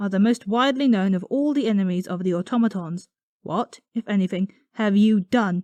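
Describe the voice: Plain reading aloud, with ordinary pitch variation, comes through a quiet background.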